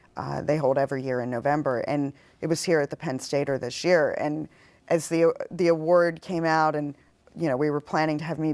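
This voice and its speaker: Her voice is very deep and low for a woman, moving at a fairly quick pace with ordinary pitch variation. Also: very clean recording, silent background. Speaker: poet and activist, university writing teacher. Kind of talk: casual interview talk on a TV show.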